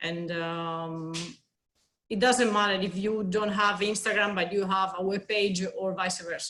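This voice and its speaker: Her tone bright and sharp, a woman speaks at a fairly slow pace with fairly even intonation. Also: medium pitch for a woman. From Spain. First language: Spanish. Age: 30s. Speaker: consultant and yoga teacher. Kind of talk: interview. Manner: halting.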